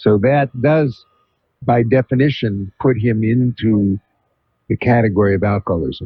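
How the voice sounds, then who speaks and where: A man speaks at a medium pitch and a fairly slow pace. His voice is somewhat breathy, with ordinary pitch variation. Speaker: psychiatrist, radio talk show host. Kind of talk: call-in radio advice. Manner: calm.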